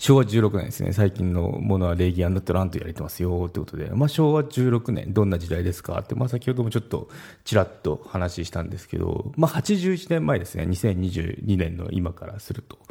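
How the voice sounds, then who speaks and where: Very deep and low in pitch, a man's voice has a dark, mellow tone, somewhat breathy, with lively intonation and big swings in loudness. He moves at a fairly quick pace with hardly any pauses. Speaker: podcaster. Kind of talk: solo casual talk. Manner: halting, stumbles over words.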